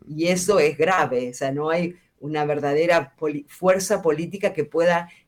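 Speaking at a fairly slow pace, a woman with an Argentine accent has a fairly low pitch. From central Argentina. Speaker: bioethics scholar. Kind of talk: interview.

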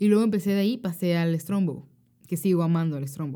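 A woman talks at a very fast pace with a dark, mellow tone. Her medium pitch shows ordinary pitch variation. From Monterrey, northern Mexico. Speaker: podcast co-host. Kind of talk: casual chat.

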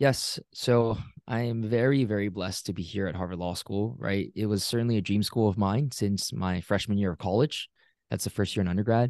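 This man has a plain, everyday voice and an American accent, pitched fairly low. He talks at a fairly quick pace with ordinary pitch variation. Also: quiet background. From Singapore, then Pennsylvania from childhood. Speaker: law student. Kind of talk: interview.

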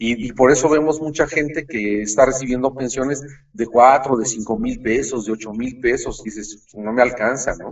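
Speaking at a moderate pace, a man with a medium pitch shows ordinary pitch variation and big swings in loudness. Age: 60s. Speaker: financial expert. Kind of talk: explanatory interview. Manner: halting, many fillers.

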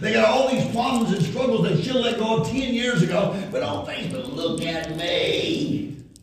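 An animated man with a high pitch and very wide pitch swings, at a fairly slow pace over noticeable background noise. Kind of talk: sermon. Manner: animated, call-and-response, rallying the congregation; loud, forceful, punchy, sometimes laughing and sarcastic.

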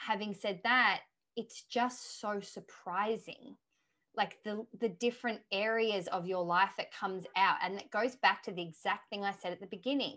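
A woman with an Australian accent, medium in pitch, with a bright, sharp tone, fairly even intonation and a moderate pace, on a very clean recording with a silent background. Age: 30s. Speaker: author and coach. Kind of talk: interview.

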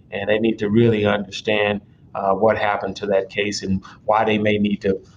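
A man with a Memphis accent, a fairly low pitch and monotone, flat intonation at a moderate pace. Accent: Southern US (Memphis). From Memphis, Tennessee (south Memphis). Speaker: judge. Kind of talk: radio interview.

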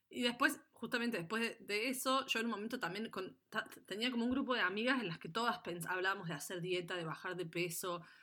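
Bright and sharp in tone, a woman talks at a fairly quick pace in a fairly high voice with lively intonation. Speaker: podcast co-host. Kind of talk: casual chat.

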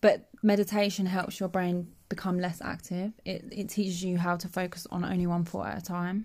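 Her somewhat breathy, medium-pitched voice runs at a moderate pace with hardly any pauses and monotone, flat intonation. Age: 20s. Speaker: youth worker. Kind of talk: casual chat.

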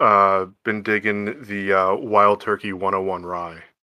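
Over a quiet background, a man with an American accent speaks at a fairly low pitch in a bright, sharp tone with ordinary pitch variation. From eastern Pennsylvania, Lehigh Valley. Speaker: credit card underwriter, darts league player. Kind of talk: casual chat.

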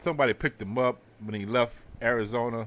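The speaker talks at a moderate pace with fairly even intonation, in an American accent. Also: man. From Houston, Texas. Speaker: podcast host. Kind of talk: casual chat.

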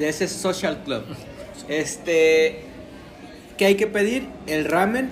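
Over noticeable background noise and audible room echo, a man with a high pitch speaks at a very slow pace, with lively intonation and long, frequent pauses. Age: 20s. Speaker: podcast co-host. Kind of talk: casual chat.

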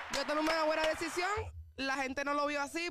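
A woman talks fairly fast while clear background noise carries on around her. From Puerto Rico, south (Juana Díaz). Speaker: singer. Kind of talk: interview.

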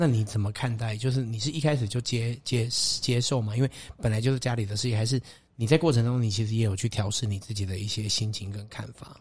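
A somewhat breathy man at a very fast pace, his intonation fairly even, on a very clean recording with a silent background. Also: medium pitch for a man. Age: 40s. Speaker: podcast host. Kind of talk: interview.

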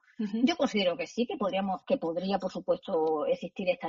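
A woman's medium-pitched voice at a fairly quick pace, lively in intonation, over noticeable background noise. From Spain, Extremadura. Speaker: law professor. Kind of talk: interview.

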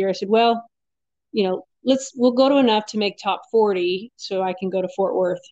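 This is an ordinary speaking voice with fairly even intonation, moving at a fairly quick pace. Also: woman. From Arizona. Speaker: professional rodeo barrel racer. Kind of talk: interview.

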